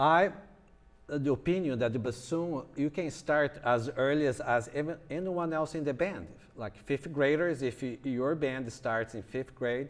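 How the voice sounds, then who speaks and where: With a Brazilian Portuguese accent, a man speaks at a fairly slow pace in a fairly high pitch with ordinary pitch variation. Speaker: music professor. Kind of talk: lecture. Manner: halting.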